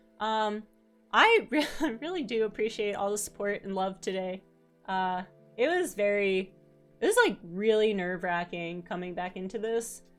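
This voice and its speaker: Music plays in the background while the speaker goes at a moderate pace with ordinary pitch variation. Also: woman, medium pitch for a woman. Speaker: vtuber streamer. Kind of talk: casual livestream chat.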